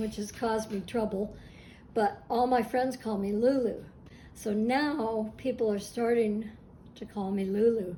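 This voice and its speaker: The tone is dark and mellow and somewhat breathy. It moves at a fairly slow pace with fairly even intonation. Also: woman. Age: old. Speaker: artist. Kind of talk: interview answers.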